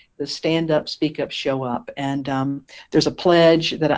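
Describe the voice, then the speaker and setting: Speaking at a moderate pace in a Southern US accent, a woman has a very deep, low pitch. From eastern North Carolina, US South. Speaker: minister. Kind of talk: interview.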